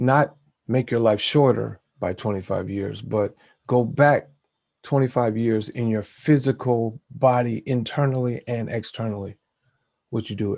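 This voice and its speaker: With a plain, everyday voice, a man speaks at a medium pitch and a fairly slow pace with fairly even intonation. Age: 60s. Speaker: vlogger and show host. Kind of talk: casual vlog monologue. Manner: casual with filler words.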